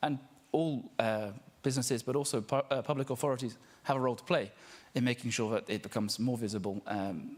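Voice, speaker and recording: This man speaks very fast with an English accent. His pitch sits in the middle range and varies normally. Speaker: social enterprise network representative. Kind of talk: panel speech. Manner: hesitant, many fillers.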